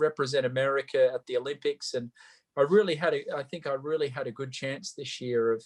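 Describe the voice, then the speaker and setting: With an Australian accent, a man speaks in a fairly high voice with fairly even intonation, the sound dry and close with no echo. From Australia, Sydney. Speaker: Olympic equestrian athlete. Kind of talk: interview. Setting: video call.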